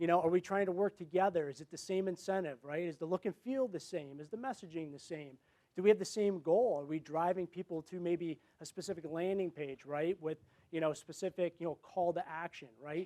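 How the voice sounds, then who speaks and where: A man speaks loud and high in pitch. His pitch variation is ordinary. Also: fairly quick pace. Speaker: marketing executive. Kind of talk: conference presentation. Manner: fast.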